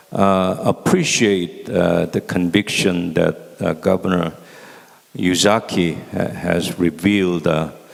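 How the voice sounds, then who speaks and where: A man's very deep, low voice, very slow and monotone with flat intonation, over noticeable background noise. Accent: Korean. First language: Korean. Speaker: former ambassador, panelist. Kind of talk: panel presentation. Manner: halting, many fillers.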